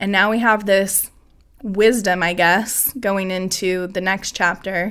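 Very slow, monotone, flat speech from a woman with a medium pitch and an American accent. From US Pacific Northwest, Washington. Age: 30s. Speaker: church deacon. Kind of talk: casual chat.

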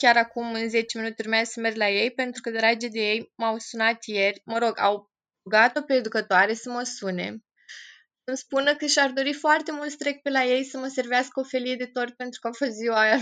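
At a moderate pace, a woman talks with a high pitch, a bright, sharp tone and fairly even intonation against a quiet background. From Romania, Moldavia region (Piatra Neamț). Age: 20s. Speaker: volunteer with institutionalized children. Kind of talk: interview.

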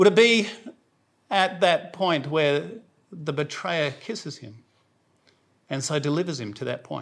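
A man with a South Australian accent speaks fairly slowly, leaving long, frequent pauses. His fairly high voice has lively intonation and vocal fry. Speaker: preacher. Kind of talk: sermon.

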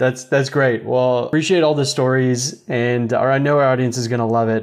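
A man speaks with an unremarkable speaking voice at medium pitch and a moderate pace. His intonation is fairly even against a quiet background. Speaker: podcast host. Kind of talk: casual interview.

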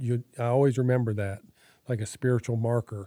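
Dry and close with no echo, this clip has a man with an unremarkable speaking voice at a medium pitch, fairly even intonation and a moderate pace. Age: 60s. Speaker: church member sharing testimony. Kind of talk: testimony. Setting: home.

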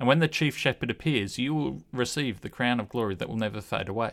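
A man with an Australian accent talks at a moderate pace and medium pitch, his intonation lively. The recording is very clean, with a silent background. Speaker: podcast host. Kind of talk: casual discussion of a Bible study lesson. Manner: hesitant, with fillers.

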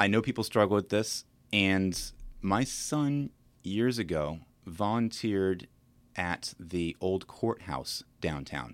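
Speaking at a very slow pace with long, frequent pauses, a man with an American accent uses a fairly low pitch and lively intonation. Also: very clean recording, silent background. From Virginia, Williamsburg. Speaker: real estate broker and podcast host. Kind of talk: casual chat.

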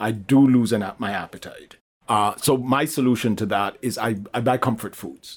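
A man uses a normal speaking voice. He talks at a moderate pace. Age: 60s. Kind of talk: interview, personal testimony.

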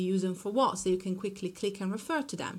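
Speaking at a fairly quick pace, a woman has an Italian accent. Her medium pitch shows ordinary variation. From Italy. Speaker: marketing consultant. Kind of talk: casual interview.

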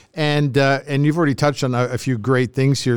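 A man with a fairly high pitch talks at a fairly quick pace in a plain, everyday voice. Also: very clean recording, silent background. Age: 60s. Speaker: podcast host, former radio broadcaster. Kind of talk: casual chat.

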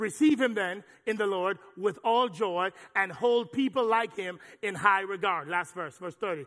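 High-pitched for a man, his bright, sharp voice has an animated tone and ordinary pitch variation at a fairly slow pace. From Jamaica. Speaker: pastor. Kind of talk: sermon. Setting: church.

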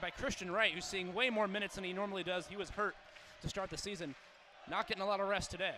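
Noticeable background noise surrounds a man talking at a very fast pace. His voice is raised and projected, and high in pitch. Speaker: college radio play-by-play announcer. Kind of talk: live play-by-play basketball commentary, calling each possession. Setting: courtside at an arena with crowd. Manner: rapid, clipped possession-by-possession calling; animated, rising with excitement on big plays.

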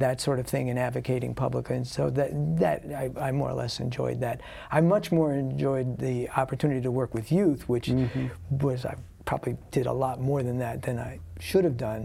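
With an American accent, a man speaks fairly quickly at medium pitch in a dark, mellow tone. His voice is somewhat breathy, with ordinary pitch variation. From New Jersey. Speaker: nonprofit founder. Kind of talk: interview. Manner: halting.

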